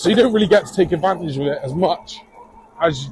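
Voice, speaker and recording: In a Bristolian accent, a high-pitched man speaks at a fairly quick pace. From England, Bristol. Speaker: cycling vlogger. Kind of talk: casual vlog talk. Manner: casual, hesitant with fillers.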